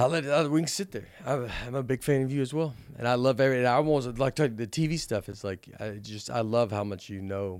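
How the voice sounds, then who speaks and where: Speaking with a Southern US accent, this voice goes at a fairly quick pace with hardly any pauses and ordinary pitch variation. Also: man, medium pitch for a man. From US South. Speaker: comedian. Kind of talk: casual chat.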